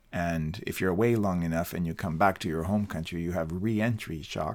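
This very clean recording with a silent background carries a voice with ordinary pitch variation. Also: man. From Colombia. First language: Spanish. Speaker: podcast co-host, English teacher. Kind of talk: casual chat.

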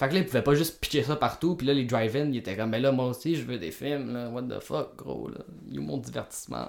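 Speaking in a Quebec accent, a man keeps a fairly quick pace and a medium pitch. Vocal fry runs through his lively intonation. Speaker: podcast co-host, film critic. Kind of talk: casual chat. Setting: home basement.

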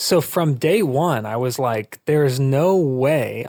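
Against a silent background in a very clean recording, a man speaks at a fairly high pitch with ordinary pitch variation. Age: 20s. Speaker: mental health advocate and startup founder. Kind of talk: interview. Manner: casual, conversational.

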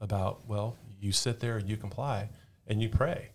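Somewhat breathy, a man with an American accent speaks at a fairly low pitch in a monotone, flat intonation. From Southern California, Orange County. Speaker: firefighter and police officer. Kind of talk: podcast interview.

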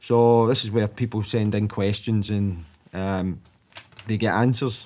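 Speaking at a very slow pace, a man with a Scottish accent keeps a medium pitch and fairly even intonation. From Scotland. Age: 40s. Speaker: podcast host. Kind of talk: casual chat.

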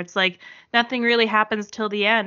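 Speaking at a fairly quick pace, a woman has an unremarkable speaking voice pitched fairly high. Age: 30s. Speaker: returning podcast guest, TV fan. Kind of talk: casual chat.

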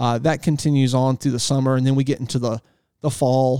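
A man with a Southern US accent, medium pitch, dark, mellow tone and monotone, flat intonation at a fairly quick pace, in a dry, close sound with no echo. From US South. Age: 40s. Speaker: fishing guide. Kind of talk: casual chat. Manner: halting.

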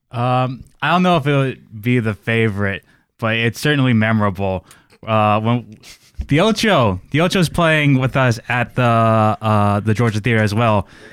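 This man has an unremarkable speaking voice at a medium pitch, with ordinary pitch variation. He keeps a moderate pace and very even loudness. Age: 20s. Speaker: band bassist. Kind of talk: casual interview chat.

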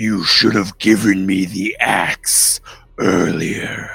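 Shouting in a put-on character voice, a man at a fairly low pitch delivers his lines at a very slow pace. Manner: screaming.

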